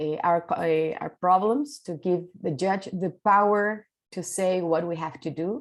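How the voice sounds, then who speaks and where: A woman speaks at a very slow pace. She talks in a Spanish accent. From Chile. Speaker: mediator, keynote speaker. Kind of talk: conference keynote talk. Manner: halting, many fillers.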